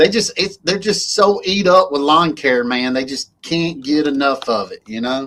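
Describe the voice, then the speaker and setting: Talking at a moderate pace with hardly any pauses, a man with an Alabama accent uses lively intonation at a fairly high pitch. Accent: Alabama twang. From Alabama, US South. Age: 40s. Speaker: lawn care business owner, livestream host. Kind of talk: casual chat. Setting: livestream.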